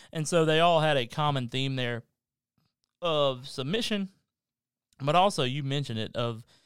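Speaking at a fairly slow pace with ordinary pitch variation, a man with a Southern US accent is heard on a very clean recording with a silent background. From Kentucky. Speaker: pastor. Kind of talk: casual chat.

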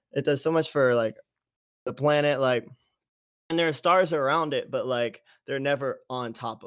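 In a very clean recording with a silent background, a man with an American accent and a fairly high pitch uses an ordinary speaking voice with fairly even intonation at a moderate pace. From US East Coast, Pennsylvania boarding school. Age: young. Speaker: musician and producer. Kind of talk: interview.

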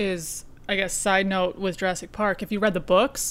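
Speaking at a moderate pace in a medium pitch, a woman has an Upper Peninsula Michigan accent. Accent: Upper Peninsula (Yooper). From Upper Peninsula of Michigan. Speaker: podcast host. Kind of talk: casual chat.

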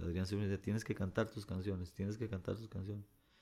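The recording is very clean, with a silent background. A man speaks in a dark, mellow tone with fairly even intonation. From Costa Rica, Pérez Zeledón. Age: 50s. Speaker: singer-songwriter. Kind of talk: interview conversation.

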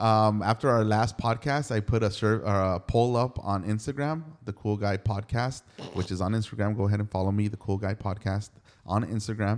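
A man with a normal speaking voice talks at a fairly quick pace, his fairly low pitch held in fairly even intonation. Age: 40s. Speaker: podcast host. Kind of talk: casual chat.

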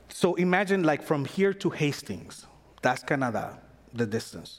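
A man speaks with a Panamanian accent, his pitch swinging very widely. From Panama (Panama City). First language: Spanish. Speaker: pastor. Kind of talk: sermon. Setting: church. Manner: animated.

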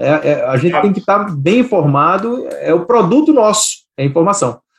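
Moving at a fairly quick pace, a man's voice rises and falls in very wide pitch swings. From Brazil, Recife. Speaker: investment manager. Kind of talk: interview. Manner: halting, many repetitions.

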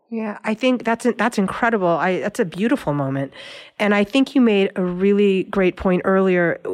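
A woman with an ordinary speaking voice talks at a moderate pace. Her pitch is medium, with ordinary pitch variation. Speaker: radio host. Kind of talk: interview.

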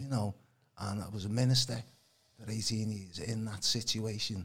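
A somewhat breathy male voice with fairly even intonation. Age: 60s. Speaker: alternative healing practitioner. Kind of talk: casual chat.

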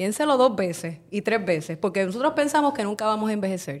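The recording is very clean, with a silent background. A woman speaks at a moderate pace and medium pitch, her pitch swinging very widely. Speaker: podcast host, journalist. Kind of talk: podcast discussion.

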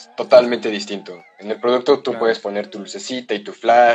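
A man with an unremarkable speaking voice talks at a fairly quick pace. His pitch is medium, with ordinary pitch variation. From Mexico, San Luis Potosí. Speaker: photographer. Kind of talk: casual chat.

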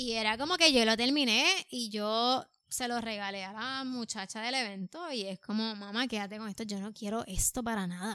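With a Puerto Rican accent, a woman speaks at a fairly high pitch in a bright, sharp tone. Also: ordinary pitch variation, moderate pace. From Puerto Rico. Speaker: artist, painter. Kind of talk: casual chat. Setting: studio.

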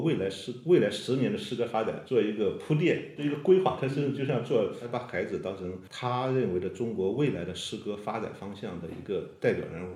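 Speaking at a fairly quick pace with hardly any pauses, a man at medium pitch uses lively intonation amid audible room echo. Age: young. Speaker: poet. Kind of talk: casual interview chat.

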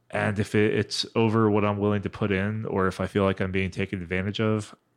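Against a quiet background, a man speaks in a fairly low pitch. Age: 40s. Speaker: corporate employee on a podcast panel. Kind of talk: casual chat. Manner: halting.

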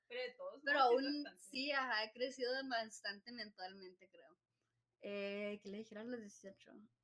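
At a fairly slow pace, a woman talks in a high pitch with ordinary pitch variation and big swings in loudness. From Nogales, Arizona–Sonora border. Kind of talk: casual chat.

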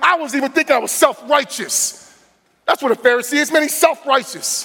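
Raised and projected, a man's extremely high-pitched voice carries an animated tone, moving at a fairly quick pace with ordinary pitch variation. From New Jersey. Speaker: guest preacher. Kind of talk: sermon. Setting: church.

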